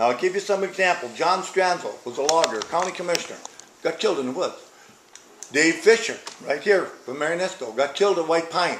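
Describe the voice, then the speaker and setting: Man with an American accent, high-pitched for a male voice, fairly quick pace, ordinary pitch variation, audible room echo and noticeable background noise. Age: 70s. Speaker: town hall attendee, cattle farmer. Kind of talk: public comment at town hall. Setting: town hall meeting in library. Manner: animated.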